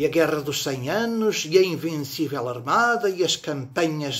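The delivery is very slow. The pitch moves in a lively way. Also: man. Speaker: poetry reciter. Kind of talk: poem reading aloud, measured and reflective. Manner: slow, deliberate, wistful and ironic. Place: home room. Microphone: phone near.

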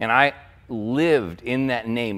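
Lively intonation marks this man's speech. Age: 50s. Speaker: pastor. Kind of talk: sermon. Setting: church. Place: church. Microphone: headset.

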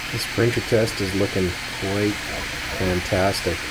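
Fairly slow speech under loud background noise. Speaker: hobbyist reviewer. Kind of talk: casual vlog commentary. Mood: impressed, enthusiastic. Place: home room. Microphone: phone near.

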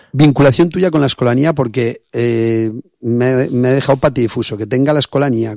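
A man's voice with a dark, mellow tone. The sound is dry with no echo, over a quiet background. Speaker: radio host. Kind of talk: casual interview. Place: studio.

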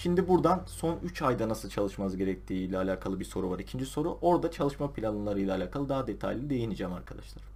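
A man with a dark, mellow tone and vocal fry talks at a very fast pace, his pitch swinging very widely. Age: 20s. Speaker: school counselor. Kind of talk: advice talk to camera.

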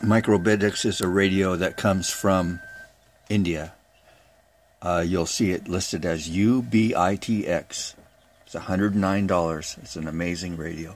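Here a man speaks at a very slow pace with fairly even intonation. His pitch is very deep and low. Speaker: amateur radio hobbyist. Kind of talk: casual show-and-tell tutorial. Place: workshop. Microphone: phone near.

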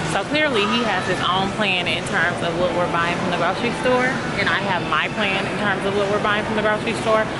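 Through loud background noise, a woman speaks at a fairly quick pace with ordinary pitch variation. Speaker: mother vlogger. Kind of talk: casual vlog chat. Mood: amused, relaxed. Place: shop. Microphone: phone near.

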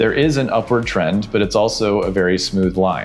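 Over faint background music, a man talks at a moderate pace with a fairly low pitch and ordinary pitch variation. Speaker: smart home reviewer. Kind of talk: tutorial. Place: home room. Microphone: lapel.

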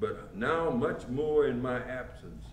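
Audible room echo and light background noise surround the voice of a man. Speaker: pastor. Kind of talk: sermon. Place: church. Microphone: camera far.

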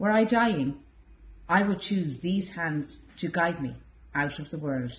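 With an Irish accent, a woman speaks at a very slow pace in a fairly low, somewhat breathy voice with lively intonation. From Ireland. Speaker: library staff member. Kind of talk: poem reading, measured and contemplative. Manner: soft, reflective. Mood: calm, tender. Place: hall.

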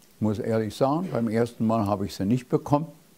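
Talking at a fairly quick pace, a man with a dark, mellow tone and medium pitch shows ordinary pitch variation. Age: 80s+. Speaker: magician. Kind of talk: interview answer. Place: studio. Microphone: lapel.

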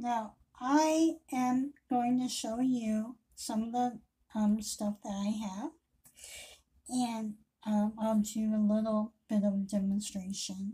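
A woman's somewhat breathy voice, very slow and with fairly even intonation. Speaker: independent hair accessory seller. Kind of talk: casual product intro vlog. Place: home room. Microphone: webcam.

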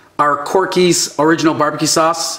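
His intonation fairly even, a man speaks at a fairly slow pace with a high pitch. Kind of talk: casual cooking vlog chat. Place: kitchen.

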